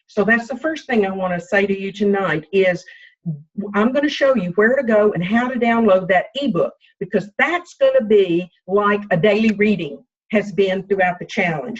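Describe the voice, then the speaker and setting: A woman's somewhat breathy voice at medium pitch and moderate pace, with ordinary pitch variation. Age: 60s. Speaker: health coach. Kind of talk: team coaching call.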